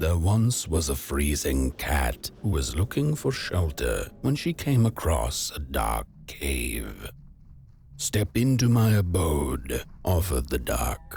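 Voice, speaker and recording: Over clear background noise, a man uses a put-on character voice with a very deep, low pitch. He speaks at a fairly slow pace. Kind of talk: bedtime story. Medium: video game.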